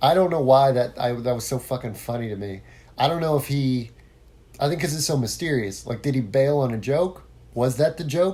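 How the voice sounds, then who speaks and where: A man at medium pitch with an American accent, somewhat breathy and dark, mellow in tone, at a fairly quick pace. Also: ordinary pitch variation. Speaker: podcast host, former musician. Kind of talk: solo podcast monologue. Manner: casual, with many fillers and false starts.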